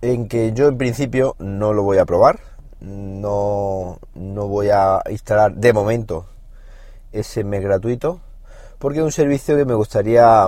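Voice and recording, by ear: A man talks at a fairly slow pace, his pitch fairly low and his tone slightly mellow. His pitch varies in an ordinary way.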